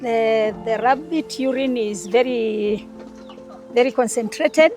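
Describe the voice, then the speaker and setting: A woman's fairly high-pitched voice with music in the background. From Kenya, Kajiado (Maasai). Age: 60s. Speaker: retired nurse and farmer. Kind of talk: interview. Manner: halting.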